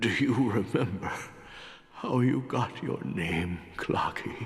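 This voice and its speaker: At a fairly slow pace, this man delivers his lines. He uses a put-on character voice pitched at a medium level. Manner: exaggerated.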